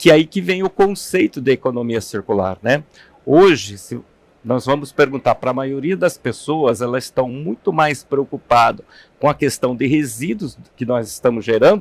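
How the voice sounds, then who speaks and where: A man talks at medium pitch and a moderate pace with lively intonation. The sound is dry and close, with no echo. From interior of São Paulo state, Brazil (São Carlos). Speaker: materials engineer and sustainability executive. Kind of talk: interview. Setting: studio. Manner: hesitant, with fillers.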